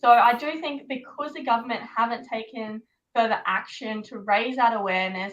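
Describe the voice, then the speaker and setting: The voice has a bright, sharp tone and an Australian accent. It moves at a moderate pace with ordinary pitch variation. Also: woman. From Queensland, Australia. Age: 20s. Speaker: pageant contestant. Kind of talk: panel discussion.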